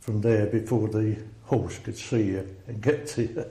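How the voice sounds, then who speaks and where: With an Essex accent, a man speaks in a fairly low, dark, mellow voice that is somewhat breathy, with fairly even intonation and audible room echo. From England, Essex (Rayleigh). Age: 70s. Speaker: army veteran. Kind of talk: oral history interview.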